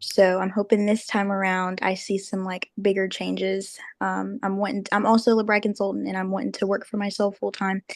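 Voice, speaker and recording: With a Southern US accent, a woman speaks at a fairly quick pace with hardly any pauses, her medium-pitched voice monotone and flat against a quiet background. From Arkansas and North Carolina. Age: 20s. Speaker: book club member. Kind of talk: casual chat.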